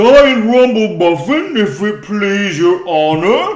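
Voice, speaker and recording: A man puts on a character voice, pitched high. He speaks very slowly. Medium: read story. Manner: slow, humble, folksy.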